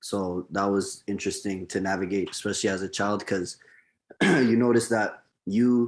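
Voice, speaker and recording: A man with a Canadian accent has a plain, everyday voice, a fairly low pitch, and fairly even intonation against a quiet background. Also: moderate pace. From Canada. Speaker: podcast guest. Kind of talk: casual discussion.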